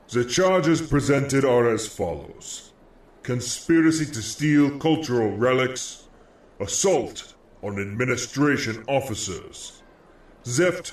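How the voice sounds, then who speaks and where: A man uses a booming, put-on character voice at a medium pitch, speaking at a fairly slow pace. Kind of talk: formal courtroom. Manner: booming, formal.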